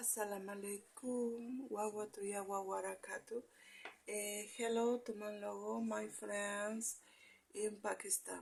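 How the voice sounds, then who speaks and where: A woman talks at a fairly slow pace with a Spanish accent. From Argentina, Jujuy. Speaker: video greeting sender. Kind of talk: casual video message. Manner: halting, many hesitations.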